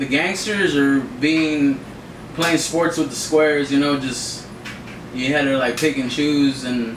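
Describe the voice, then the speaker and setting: Audible room echo and noticeable background noise surround a man speaking at a fairly slow pace and fairly high pitch. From Watsonville, California. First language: Spanish. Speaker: DJ. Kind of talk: interview. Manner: casual, halting.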